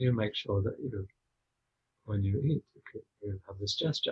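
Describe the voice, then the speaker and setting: Dry and close with no echo, a man's somewhat breathy voice at medium pitch moves at a moderate pace with lively intonation. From Scotland. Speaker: spiritual teacher. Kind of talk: casual chat.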